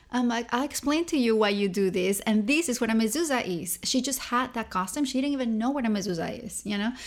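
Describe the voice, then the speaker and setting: A woman with a Spanish accent speaks at a very fast pace with hardly any pauses and ordinary pitch variation, in a very clean recording with a silent background. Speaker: cookbook author and model. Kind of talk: interview. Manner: animated.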